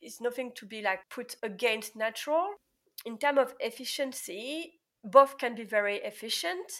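Lively intonation and big swings in loudness mark this woman's high-pitched voice, delivered at a moderate pace in a very clean recording with a silent background. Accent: French. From France. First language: French. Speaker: pharmacist. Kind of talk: interview.

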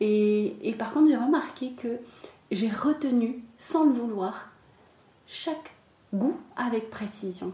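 A woman's very slow delivery, with lively intonation and long, frequent pauses. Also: fairly high pitch for a woman. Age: 30s. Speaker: chocolatier. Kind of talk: interview.

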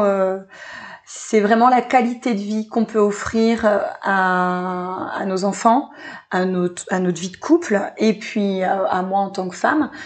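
A woman at a very slow pace, medium in pitch. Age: 30s. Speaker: entrepreneur. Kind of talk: interview.

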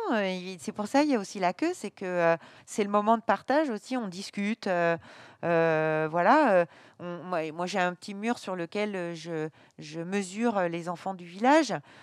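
A woman's loudness swings widely. The sound is dry and close, with no echo. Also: medium pitch for a woman, ordinary pitch variation, fairly slow pace, very clean recording, silent background. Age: 50s. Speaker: baker and business owner. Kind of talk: interview. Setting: in her bakery at night. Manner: halting, many hesitations.

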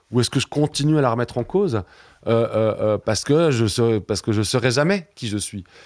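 The man's medium-pitched voice moves at a fairly quick pace with lively intonation. The recording is very clean, with a silent background. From Switzerland. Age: 40s. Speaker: museum director and science fiction scholar. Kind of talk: interview. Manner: hesitant, many repetitions and fillers.

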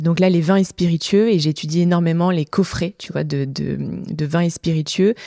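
The woman's fairly low voice moves at a moderate tempo, its intonation staying fairly level. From southern France, Montpellier. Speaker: entrepreneur, start-up co-founder. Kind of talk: interview.

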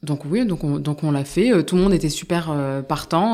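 With ordinary pitch variation, this woman talks in a very deep, low register. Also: very clean recording, silent background. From Indian heritage. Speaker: startup founder and CEO. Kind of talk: interview. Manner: halting, many fillers.

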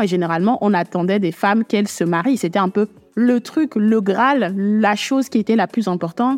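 A woman with an unremarkable speaking voice talks at a fairly quick pace in a medium pitch, with ordinary pitch variation and a dry, close sound with no echo. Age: 20s. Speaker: podcast host. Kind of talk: solo podcast monologue. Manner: casual, intimate address to listener.

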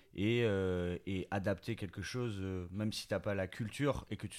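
The recording is very clean, with a silent background. Intonation stays fairly even. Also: man. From Bordeaux, southwest France. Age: 30s. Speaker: clothing brand co-founder. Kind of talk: interview. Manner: hesitant, many fillers.

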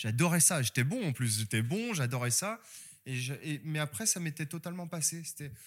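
A man's somewhat breathy, fairly high voice with lively intonation at a moderate pace, on a very clean recording with a silent background. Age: 30s. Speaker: manga author. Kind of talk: casual interview. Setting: bookstore.

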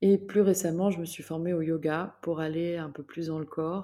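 A woman with a very deep, low pitch and a dark, mellow tone speaks at a fairly slow pace with fairly even intonation. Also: very clean recording, silent background. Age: 50s. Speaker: health coach. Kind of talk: personal testimony. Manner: hesitant, frequent fillers and repetitions.

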